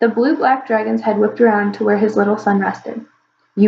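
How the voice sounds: In a natural reading voice, the speaker keeps a fairly even intonation over a quiet background.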